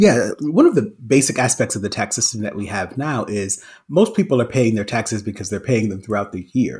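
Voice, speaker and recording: Speaking fairly quickly with hardly any pauses, a man at medium pitch sounds somewhat breathy and uses ordinary pitch variation. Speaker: economics professor. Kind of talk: interview. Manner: laughs often.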